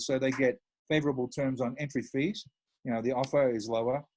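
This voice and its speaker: Over background music, a man of medium pitch talks at a fairly quick pace. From Australia. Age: 60s. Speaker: financial advisor. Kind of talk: casual interview.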